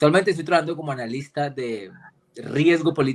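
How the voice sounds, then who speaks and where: A fairly high-pitched man with a strong Cali accent. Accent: strong Cali accent, deliberately kept. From Colombia, Cali. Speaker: political risk analyst and geopolitics lecturer. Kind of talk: casual interview chat.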